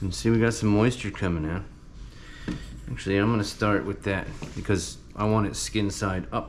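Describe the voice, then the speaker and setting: A man speaks with a fairly low pitch and fairly even intonation. His speech has long, frequent pauses, with audible room echo. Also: moderate pace. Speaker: farmer and home cook. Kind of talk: cooking tutorial. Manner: speaking quietly at times.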